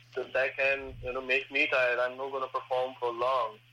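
Against noticeable background noise, a man speaks at a moderate pace and medium pitch. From India, Punjab. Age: 20s. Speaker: professional wrestler. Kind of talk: interview. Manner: halting.

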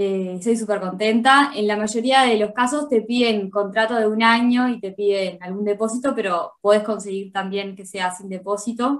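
A woman speaks with a Uruguayan accent at a fairly slow pace. Her pitch is fairly high, and her intonation stays fairly even. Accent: Rioplatense Spanish (Uruguayan). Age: 20s. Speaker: accountant. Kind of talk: interview. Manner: hesitant, many fillers and repetitions.

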